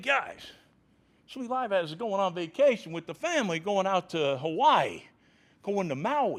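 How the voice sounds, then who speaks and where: With very wide pitch swings, a man talks in an animated tone at a moderate pace. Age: 60s. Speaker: football coach. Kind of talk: press conference. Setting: press conference room.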